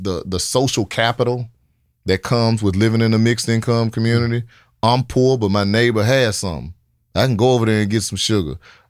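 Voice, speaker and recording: The recording is very clean with a silent background as a man speaks in a Memphis accent. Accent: Southern US (Memphis). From Memphis, Tennessee (Oak Haven). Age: 40s. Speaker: mayoral candidate and city development executive. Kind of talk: casual interview.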